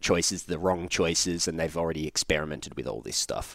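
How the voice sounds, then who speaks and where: In a very clean recording with a silent background, a man speaks in a very deep, low voice with a dry, close sound and no echo. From Australia. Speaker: handstand and movement coach. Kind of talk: casual interview chat. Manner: casual, swears a lot.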